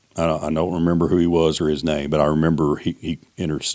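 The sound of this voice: A man speaks fast at an extremely low pitch. His slightly mellow tone has little pitch movement.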